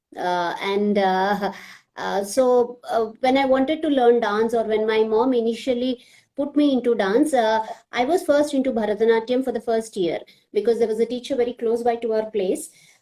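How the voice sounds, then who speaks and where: Speaking with a Telugu accent, a woman talks at a moderate pace in a fairly high pitch. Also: ordinary pitch variation. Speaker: classical dancer and social media page admin. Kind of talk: live video chat.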